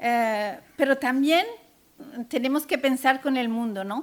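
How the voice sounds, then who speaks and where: Her pitch high and its variation ordinary, a woman talks at a very slow pace. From France, child of Castilian Spanish immigrants. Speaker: panel speaker, works with immigrant children. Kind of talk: conference talk. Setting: conference panel with audience. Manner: hesitant, many fillers.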